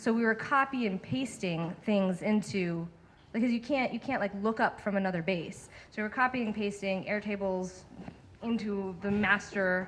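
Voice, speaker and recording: This is a woman with a medium-pitched voice. Her pitch varies in an ordinary way. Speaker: user research lead, speaker. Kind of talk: Q&A after a talk. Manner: fast.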